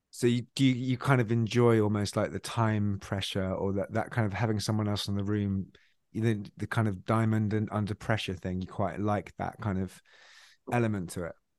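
Against a quiet background, a man speaks in a fairly low voice with fairly even intonation. It is an unremarkable speaking voice. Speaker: podcast host, songwriter. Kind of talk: interview.

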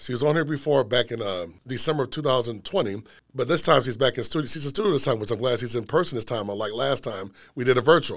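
Over a very clean recording and silent background, a man with a plain, everyday voice at medium pitch talks at a fairly quick pace with lively intonation. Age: 40s. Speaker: podcast host. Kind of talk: show intro monologue; casual interview. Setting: studio.

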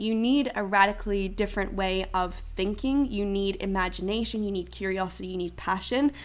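On a very clean recording with a silent background, a woman speaks at medium pitch and a moderate pace. She uses ordinary pitch variation and hardly pauses at all. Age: 20s. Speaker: youth climate activist. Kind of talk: interview. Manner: animated.

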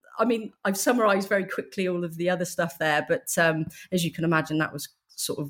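A woman's very fast speech, fairly low in pitch, with ordinary pitch variation. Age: 40s. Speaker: donor-conceived advocate. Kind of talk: casual chat. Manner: halting.

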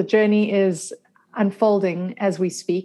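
A woman speaks at a medium pitch and a fairly slow pace, her tone dark and mellow. Her intonation is monotone and flat over a quiet background. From South Africa. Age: 40s. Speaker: functional medicine health coach. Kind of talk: interview.

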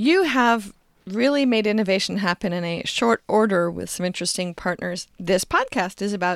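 A woman with an unremarkable speaking voice talks at medium pitch and a moderate pace, with lively intonation. The recording is very clean, with a silent background. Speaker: podcast host. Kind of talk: interview.

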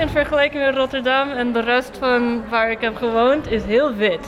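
A woman's high-pitched voice with a non-native accent, audible room echo and noticeable background noise. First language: not Dutch (speaking Dutch). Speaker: social entrepreneur and summer school student. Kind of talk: interview.

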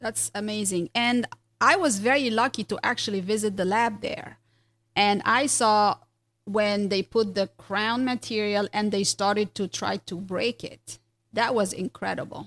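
In a normal speaking voice, a woman talks at a fairly slow pace and a fairly high pitch, her intonation fairly even and the sound dry and close with no echo. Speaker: dentist podcast host. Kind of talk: casual interview.

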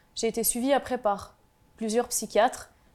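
The woman's pitch is fairly high, her intonation fairly even. Hers is an unremarkable speaking voice at a moderate pace. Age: 20s. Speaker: mental health advocate, insurance worker. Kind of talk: testimony.

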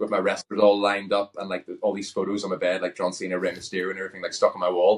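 A man talks at a very fast clip with a Northern Irish accent. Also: hardly any pauses. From Northern Ireland. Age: 30s. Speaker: pro wrestler and reality TV contestant. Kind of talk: casual interview chat. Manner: well spoken.

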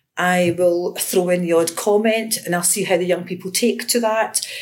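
A woman's medium-pitched voice in a Glaswegian accent, with fairly even intonation. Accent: Glaswegian Scottish. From Scotland, Glasgow. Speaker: education lecturer. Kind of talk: interview.

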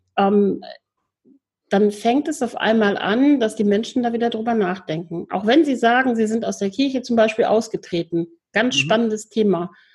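A woman with a fairly high pitch, a somewhat breathy quality, and a moderate pace. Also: ordinary pitch variation. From Lower Rhine region, Germany. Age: 40s. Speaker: volunteer hospital chaplain trainee and psycho-oncology counsellor. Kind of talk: interview.

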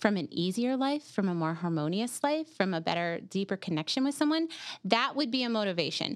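A woman speaks loudly at a fairly quick pace, with very wide pitch swings. The recording is very clean, with a silent background. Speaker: life coach. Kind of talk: casual chat. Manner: laughs a lot.

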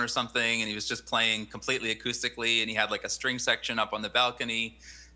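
The tone is bright and sharp, with a Western Canadian accent. The recording is very clean, with a silent background. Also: man. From British Columbia, Canada (Fraser Valley). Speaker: singer-songwriter and composer. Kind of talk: casual interview.

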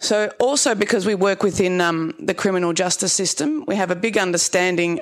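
This is a woman with an Australian accent. Her pitch variation is ordinary. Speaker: social services worker. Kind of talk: panel discussion talk. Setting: stage with audience.

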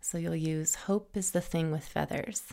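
Warm, gentle, dark and mellow female voice, fairly low in pitch with fairly even intonation, in a very clean recording with a silent background. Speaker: podcast host. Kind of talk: reading a poem aloud. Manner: warm, slow, reverent, with a gentle lyrical cadence.

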